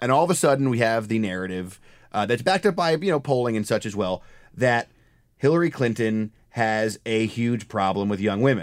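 Speaking at a fairly quick pace with lively intonation, a man has an unremarkable speaking voice at medium pitch. The recording is very clean, with a silent background. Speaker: podcast host and political reporter. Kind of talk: casual political podcast chat. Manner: casual, joking, laughs often.

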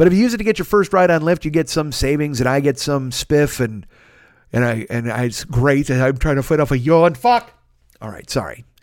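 A man with an unremarkable speaking voice, fairly high in pitch, at a fairly quick pace and with lively intonation, in a very clean recording with a silent background. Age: 40s. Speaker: podcaster. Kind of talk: casual solo podcast monologue. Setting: home studio alone. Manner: rambling, profane, jokey.

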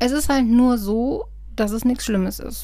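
There is audible room echo. It surrounds a woman talking. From Germany, Westerwald. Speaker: podcast host. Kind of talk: personal monologue podcast. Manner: casual, hesitant with frequent fillers.

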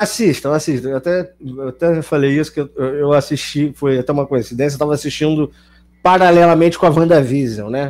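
A man with an unremarkable speaking voice, fairly high in pitch, with ordinary pitch variation and a fairly quick pace. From Niterói, Rio de Janeiro state, Brazil. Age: 30s. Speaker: comedic actor. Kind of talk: casual chat.

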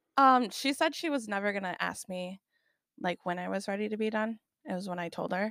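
A woman's bright, sharp voice at medium pitch, lively in intonation and fairly quick, dry and close with no echo, on a very clean recording with a silent background. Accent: American. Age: 20s. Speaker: high school teacher. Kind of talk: casual interview.

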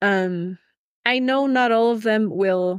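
A woman's fairly high voice with a Spanish accent, very slow and lively in intonation, in a dry, close recording with no echo and a silent, very clean background. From Ecuador (Quito). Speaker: teacher. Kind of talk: interview.

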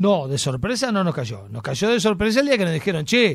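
In a Uruguayan accent, a man speaks with a high pitch. His voice makes very wide pitch swings. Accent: Uruguayan Rioplatense Spanish. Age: 50s. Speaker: actor and TV personality. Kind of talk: casual chat.

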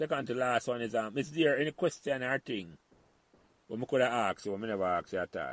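With a Jamaican accent, a man speaks in a lively, up-and-down intonation, recorded very cleanly against a silent background with a dry, close sound and no echo. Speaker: podcast host. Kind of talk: casual conversation, interview.

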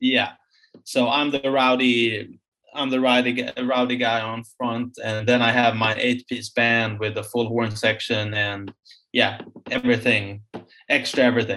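Slowish and monotone, a man with a Swedish accent speaks at a fairly slow pace with flat intonation. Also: medium pitch for a man. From Sweden, Stockholm. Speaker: musician, band frontman. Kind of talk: casual interview.

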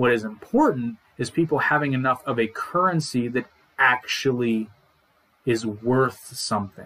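An ordinary speaking voice from a man at a medium pitch, with ordinary pitch variation and a moderate pace. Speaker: podcast co-host. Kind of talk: solo monologue about economics, casual. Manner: informal, humorous, chatty.

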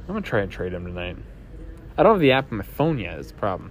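Vocal fry runs through speech at a very fast pace. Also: man. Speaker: fantasy football podcast host. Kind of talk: solo casual podcast monologue. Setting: airport terminal during layover. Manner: casual with many fillers.

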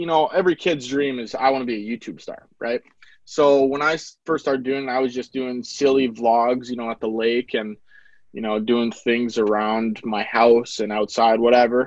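In an Upper Midwest accent, a man speaks at a moderate pace with a medium pitch and fairly even intonation. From North Dakota. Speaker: videographer and business owner. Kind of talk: casual interview.

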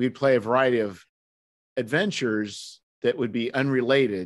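Against a quiet background, a man speaks at a fairly slow pace in a medium pitch. It is a plain, everyday voice. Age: 50s. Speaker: podcast host. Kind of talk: casual chat.

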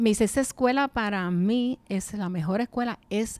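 A woman at a medium pitch and fairly slow pace, with ordinary pitch variation, in a very clean recording with a silent background and a dry, close sound with no echo. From New York City, then Puerto Rico (Quebradillas) from age 13. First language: English (speaking Spanish). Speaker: retired English teacher. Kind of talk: casual interview.

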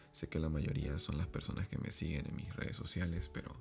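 Here a man talks at a moderate pace. His pitch is very deep and low, with ordinary variation. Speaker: podcast host and author. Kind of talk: casual advice monologue.

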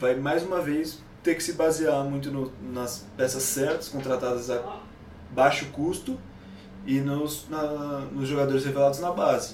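Noticeable background noise and audible room echo surround the recording. A man speaks at a fairly high pitch and a fairly slow pace. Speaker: football commentator. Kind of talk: casual chat.

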